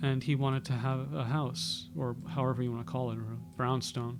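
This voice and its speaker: Over music in the background, the speaker uses an American accent, a moderate pace and lively intonation. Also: man. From New York City. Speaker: YouTuber. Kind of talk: casual monologue. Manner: halting.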